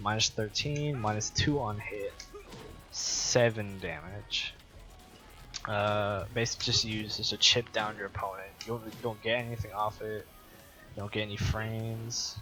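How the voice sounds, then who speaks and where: Music plays in the background. A man speaks with a fairly low pitch and fairly even intonation. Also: moderate pace. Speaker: fighting game guide maker. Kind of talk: gameplay tutorial commentary. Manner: halting, stuttering.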